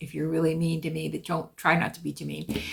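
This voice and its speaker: A woman's voice with vocal fry. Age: 70s. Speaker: podcast host. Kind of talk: casual monologue. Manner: conversational, with fillers.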